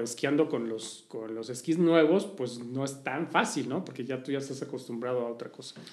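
A man with a Mexico City accent talks at a fairly high pitch with ordinary pitch variation. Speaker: social listening agency executive. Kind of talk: interview. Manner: hesitant, many fillers.

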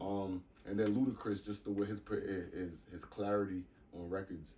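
With an American accent, a man speaks at a fairly low pitch and a moderate pace in an ordinary speaking voice. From US Northeast, New York City (the Bronx, Baychester). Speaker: DJ and producer. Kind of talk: casual interview chat. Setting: studio.

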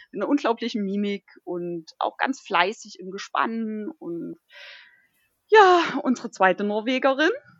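A woman's fairly high voice with very wide pitch swings, at a fairly slow pace. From northern Thuringia, Germany. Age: 30s. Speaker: dog musher and hiker. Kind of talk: casual chat.

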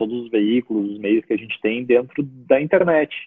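A plain, everyday voice from a man, medium in pitch, with ordinary pitch variation and a moderate pace. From southern Brazil, Porto Alegre. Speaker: digital marketing consultant. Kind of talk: interview.

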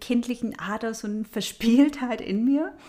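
With a dark, mellow tone, a woman speaks in a fairly high pitch at a moderate pace, using ordinary pitch variation. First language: not German (speaking German). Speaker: astrology podcast host. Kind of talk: solo podcast talk on astrology. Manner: conversational with filler sounds.

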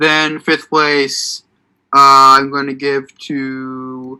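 Very slowly, a man speaks in a bright, sharp tone with monotone, flat intonation. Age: 20s. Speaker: podcast co-host. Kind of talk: casual chat. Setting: video call. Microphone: better audio quality than usual.

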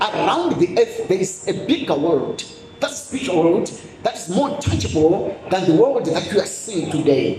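Noticeable background noise surrounds an animated voice moving at a moderate pace. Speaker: preacher. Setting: church with congregation. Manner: animated, emphatic, exhorting the crowd.

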